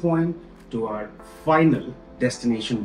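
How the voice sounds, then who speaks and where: Faint music plays in the background as a man speaks with audible room echo. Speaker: travel vlogger. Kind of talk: casual vlog chat. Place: home room.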